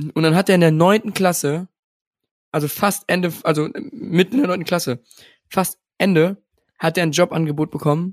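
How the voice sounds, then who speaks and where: A high-pitched man speaks at a moderate pace with ordinary pitch variation, leaving long, frequent pauses. The sound is dry and close, with no echo. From Germany, Rhineland (Alfter near Bonn). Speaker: podcast co-host. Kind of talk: casual chat.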